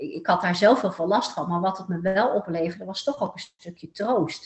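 A woman speaks at a moderate pace and medium pitch. Her voice is somewhat breathy, with lively intonation. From Netherlands, Eindhoven (North Brabant). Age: 40s. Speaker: therapist. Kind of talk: interview. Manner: hesitant with many fillers.

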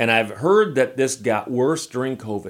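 Speaking in an unremarkable speaking voice, a man talks at a fairly quick pace and medium pitch. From United States. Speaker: video host on cars and RVs. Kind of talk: casual chat. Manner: casual, conversational.

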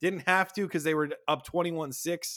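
A man talks at a moderate pace in an ordinary speaking voice, fairly high in pitch. The recording is very clean with a silent background. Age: 30s. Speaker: fantasy football podcast host. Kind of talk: casual chat.

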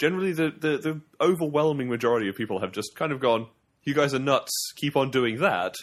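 A man talks at a very fast pace. His fairly high voice has lively intonation. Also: very clean recording, silent background. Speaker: video game podcast co-host. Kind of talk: casual chat. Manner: loud.

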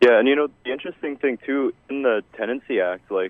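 A man talks at a moderate pace. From Canada. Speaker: caller. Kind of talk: casual chat. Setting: phone call.

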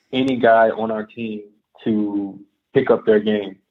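In an American accent, a man speaks at a very slow pace with medium pitch and fairly even intonation. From Texas, Houston. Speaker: professional basketball player. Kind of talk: interview.

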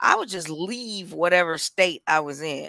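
At a fairly slow pace, a woman with an American accent talks in a fairly low pitch with ordinary variation, on a very clean recording with a silent background. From Milwaukee, Wisconsin. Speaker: podcast co-host. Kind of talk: casual chat. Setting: live stream.

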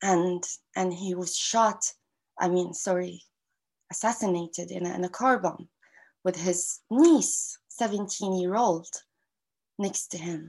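In an Arabic accent, a woman speaks at a very slow pace with long, frequent pauses. Her pitch is medium, her intonation fairly even, and the background is quiet. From Gaza, Palestine. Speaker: activist and university lecturer. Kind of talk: interview. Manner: halting.

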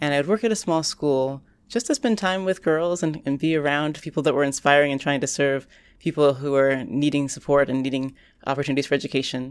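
In a very clean recording with a silent background, a woman speaks at a fairly quick pace with a very deep, low pitch and ordinary pitch variation. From US South, Orlando, Florida. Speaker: professor. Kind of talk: interview.

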